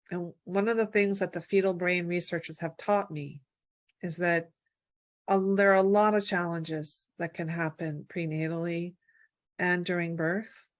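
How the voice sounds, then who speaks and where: Against a quiet background, a woman with an American accent talks at a moderate pace, her pitch fairly low and her intonation fairly even. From Virginia, US. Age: 60s. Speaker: birth and family health advocate. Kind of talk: interview. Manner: halting, many fillers.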